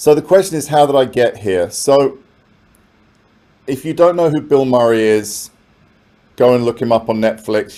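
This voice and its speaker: A man with a London accent, dark, mellow tone, lively intonation, moderate pace and long, frequent pauses. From London, England. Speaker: professor. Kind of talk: keynote talk. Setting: conference with audience. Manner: conversational.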